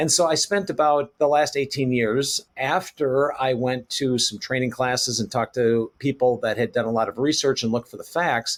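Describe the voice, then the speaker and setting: This is an ordinary speaking voice from a man of medium pitch at a moderate pace. He has ordinary pitch variation and hardly any pauses. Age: 60s. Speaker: reverse mortgage specialist. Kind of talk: interview.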